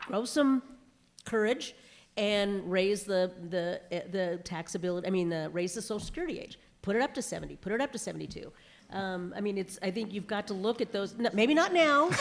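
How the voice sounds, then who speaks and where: In a very clean recording with a silent background, a woman with a normal speaking voice and medium pitch speaks at a moderate pace with lively intonation. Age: 60s. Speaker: lobbyist. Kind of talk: panel discussion.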